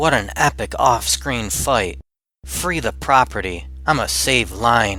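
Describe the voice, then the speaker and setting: This is a put-on character voice at a fairly slow pace. The recording is very clean with a silent background. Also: man, very deep, low pitch for a man. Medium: fan dub. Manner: fierce, threatening.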